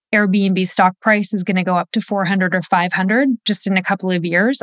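At a moderate pace, a woman with an unremarkable speaking voice talks in a medium pitch, the sound dry and close with no echo on a very clean recording with a silent background. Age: 40s. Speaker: founder of online finance courses, former attorney. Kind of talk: interview. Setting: virtual studio.

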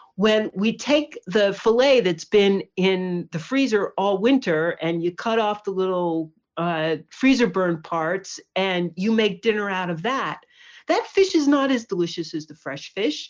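A woman's normal speaking voice with an American accent, medium in pitch, fairly slow, with lively intonation, against a quiet background. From New York, Hudson Valley. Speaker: author and journalist. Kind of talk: casual interview.

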